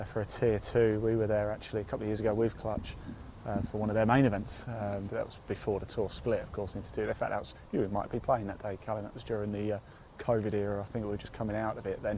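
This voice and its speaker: A man with an English accent, very fast pace and monotone, flat intonation. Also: fairly low pitch for a man. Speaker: golf presenter. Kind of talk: live commentary. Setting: outdoors by the golf course.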